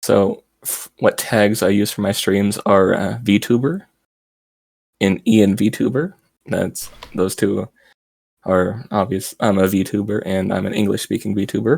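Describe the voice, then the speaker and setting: Quiet and fairly low-pitched, a man speaks at a fairly slow pace with fairly even intonation. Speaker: VTuber streamer. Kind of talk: interview. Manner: quiet, low volume.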